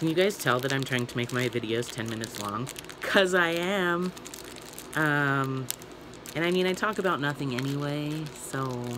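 Against noticeable background noise, the speech moves at a moderate pace with ordinary pitch variation. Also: man. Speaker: toy unboxing vlogger. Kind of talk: casual vlog chat. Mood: cheerful, chatty. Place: home room. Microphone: phone near.

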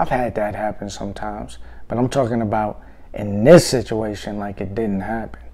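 Moderate-paced speech from a man, with a quiet background. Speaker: vlogger telling a story. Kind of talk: casual vlog chat. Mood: reflective, wry. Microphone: phone near.

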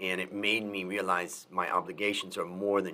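At a moderate pace, a man talks with a bright, sharp tone and a fairly low pitch. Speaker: podcast host. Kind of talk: interview. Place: home room. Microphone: studio mic.

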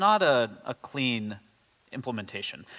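Against a quiet background, a man speaks at a fairly slow pace. His tone is bright and sharp. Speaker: conference presenter. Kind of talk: technical talk. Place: hall.

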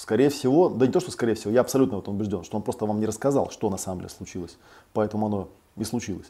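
Very fast and fairly low in pitch, a man's voice has a dark, mellow tone and ordinary pitch variation. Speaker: clinical psychologist and psychotherapist. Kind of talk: online lecture with Q&A. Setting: online live broadcast. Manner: hesitant filler-heavy speech, frequent 'да'. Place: home room.

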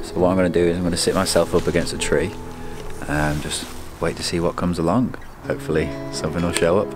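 Clear music sits in the background as a man speaks very fast at a very deep, low pitch with ordinary pitch variation, in a dry sound with no echo. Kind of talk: casual vlog chat. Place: forest. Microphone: phone near.

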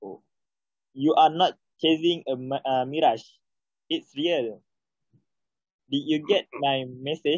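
A man with a Malaysian accent speaks at a very slow pace with long, frequent pauses, at a fairly high pitch with ordinary pitch variation. The sound is dry with no echo, and the background is quiet. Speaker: English learner. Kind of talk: reading aloud. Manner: halting. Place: home room. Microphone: phone near.

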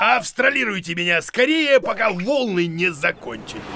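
In a cartoonish character voice, a man speaks at a high pitch with big pitch swings and a bright, sharp tone over faint background noise. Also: moderate pace.

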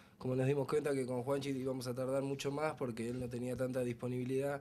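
Speaking fairly quickly, the man keeps his voice at a medium pitch. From Argentina, Buenos Aires. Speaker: rock band member. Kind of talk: casual interview. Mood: relaxed, pleased. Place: home room. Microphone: handheld.

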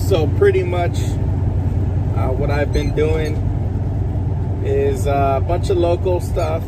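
Loud background noise fills the clip while the sound itself stays dry with no echo. A man speaks at a very slow pace. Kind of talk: casual vlog chat. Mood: relaxed, upbeat. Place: car. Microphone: phone near.

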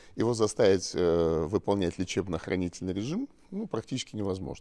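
A man with a dark, mellow tone speaks at a fairly quick pace with lively intonation against a quiet background. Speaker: regional governor, physician by training. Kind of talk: interview answer. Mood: calm, slightly amused. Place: hall. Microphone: handheld.

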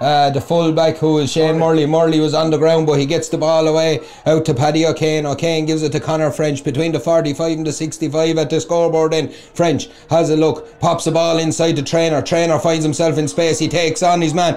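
Over noticeable background noise, a man with an Irish accent speaks in an animated tone at a fairly quick pace, his pitch fairly high and his loudness very even. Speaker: sports commentator. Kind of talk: live sports commentary, play-by-play. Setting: outdoors at the ground. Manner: fast, fluent, animated.

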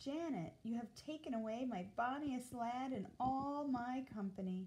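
A female-sounding voice, in fact a woman's put-on character voice, speaks at a moderate pace with a high pitch. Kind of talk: reading a story aloud. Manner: angry.

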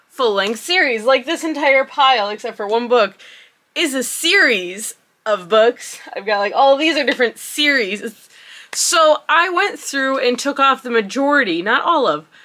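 A woman's raised, projected voice with lively intonation at a moderate pace. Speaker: book vlogger. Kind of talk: casual vlog chat. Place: home room.

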